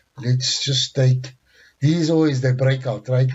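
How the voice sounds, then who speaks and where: Somewhat breathy, a man speaks at medium pitch with fairly even intonation. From South Africa. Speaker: forex trading instructor. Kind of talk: tutorial.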